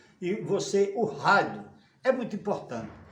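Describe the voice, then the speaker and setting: Audible room echo and noticeable background noise surround speech delivered at a moderate pace. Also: man. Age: 70s. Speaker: radio broadcaster. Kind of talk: interview. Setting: at home.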